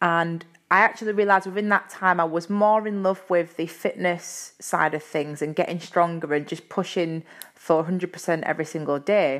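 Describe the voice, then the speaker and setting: In a Yorkshire accent, the speaker talks at a moderate pace with fairly even intonation. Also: woman, fairly low pitch for a woman. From Yorkshire, England. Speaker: personal trainer and podcast host. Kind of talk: casual solo podcast talk. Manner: uses filler words, friendly and chatty.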